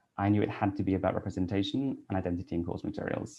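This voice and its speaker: Someone with a Welsh accent talks at a very fast pace. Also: man. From Wales (Cardiff). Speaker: English teacher and researcher. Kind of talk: conference talk.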